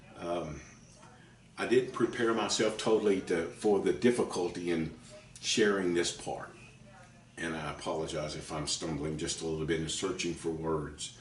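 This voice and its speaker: A very deep, low male voice with audible room echo and noticeable background noise. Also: ordinary pitch variation, moderate pace. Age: 60s. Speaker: author and preacher. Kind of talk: teaching talk to camera. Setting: at home kitchen table. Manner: halting, stumbling over words.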